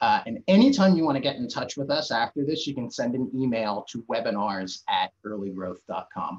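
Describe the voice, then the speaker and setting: A man speaking with hardly any pauses over a quiet background. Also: moderate pace. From New Jersey. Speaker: webinar host, marketing executive. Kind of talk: webinar presentation. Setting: video call. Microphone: video call.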